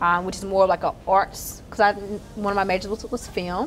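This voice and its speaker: A woman with a Southern US accent at a moderate pace, over light background noise. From Mississippi, Terry near Jackson; Mississippi. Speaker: tech entrepreneur. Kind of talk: interview. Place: hall. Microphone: lapel.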